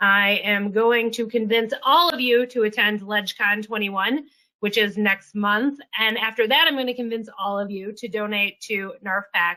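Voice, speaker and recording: Loud and fairly high-pitched, a woman speaks with ordinary pitch variation. Her tone is bright and sharp. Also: moderate pace. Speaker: policy executive of a federal employees association. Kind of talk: online presentation. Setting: video conference.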